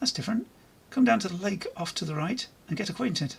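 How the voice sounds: A squeaky, put-on character voice at middle pitch, rattling along at a very fast pace.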